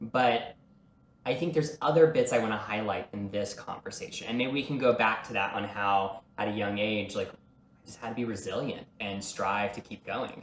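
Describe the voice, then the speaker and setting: In a normal speaking voice with an American accent, a man talks at a moderate pace and medium pitch, with ordinary pitch variation and big swings in loudness. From small-town rural US. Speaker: performer and entrepreneur. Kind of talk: casual chat.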